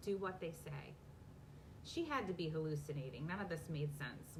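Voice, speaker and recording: A woman's very deep, low voice with lively intonation and audible room echo. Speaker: romance author. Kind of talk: casual chat; reading aloud. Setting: live video from home basement. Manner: fast.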